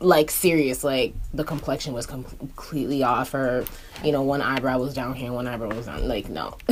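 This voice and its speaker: A woman with a very deep, low pitch speaks at a moderate pace. Noticeable background noise is present. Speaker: beauty YouTuber and makeup artist. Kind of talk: casual chat while getting ready. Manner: animated.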